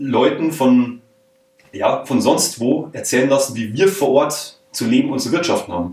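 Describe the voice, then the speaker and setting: With an ordinary speaking voice, a man speaks at a fairly slow pace in a fairly high pitch and with lively intonation. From Bavaria, rural area around Munich. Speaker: podcaster. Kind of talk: interview. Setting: office room.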